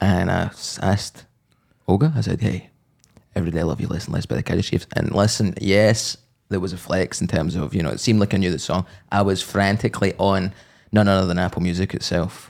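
Very fast man's voice, very deep and low, with vocal fry and ordinary pitch variation. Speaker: podcast host. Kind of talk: casual chat.

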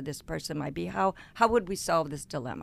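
A woman with a very deep, low pitch and vocal fry is heard on a very clean recording with a silent background. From Louisiana (Cajun). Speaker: podcast co-host. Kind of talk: casual chat.

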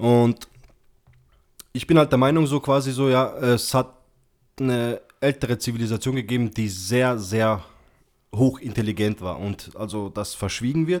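Speech moves at a moderate pace with ordinary pitch variation and long, frequent pauses. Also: man, medium pitch for a man. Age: 20s. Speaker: podcast guest. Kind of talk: casual chat.

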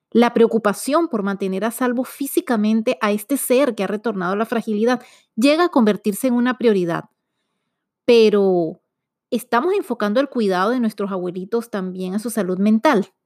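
A woman with a plain, everyday voice talks at a fairly high pitch and moderate pace with ordinary pitch variation, on a very clean recording with a silent background. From Venezuela. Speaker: podcast host. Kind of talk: scripted intro narration; interview.

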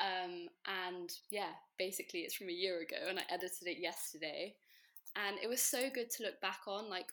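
A woman with a British accent speaks in a bright, sharp tone at medium pitch. Her intonation is fairly even and her pace moderate. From England. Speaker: guest. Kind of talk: casual chat.

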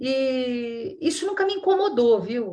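A woman speaks at a high pitch with very wide pitch swings. The background is quiet. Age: 60s. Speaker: nonprofit executive director. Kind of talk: interview.

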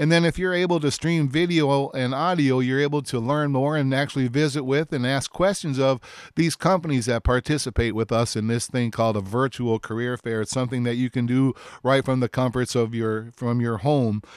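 In a dry, close recording with no echo and a silent background, a man with an American accent speaks fairly quickly at medium pitch with ordinary pitch variation. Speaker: radio host, career center staff. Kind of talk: local radio show. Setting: radio studio. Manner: fast.

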